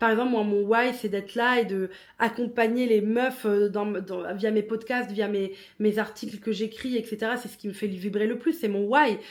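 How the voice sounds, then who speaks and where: Speaking at a moderate pace, a woman has a fairly high pitch and fairly even intonation. The recording is very clean, with a silent background. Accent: non-native. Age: 30s. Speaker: podcast host. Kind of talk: casual monologue.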